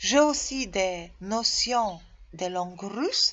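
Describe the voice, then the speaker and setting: A woman with a Polish accent speaks with ordinary pitch variation. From Poland. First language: Polish (speaking French). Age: 40s. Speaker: tour guide job seeker. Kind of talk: self-presentation video. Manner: halting, with hesitations.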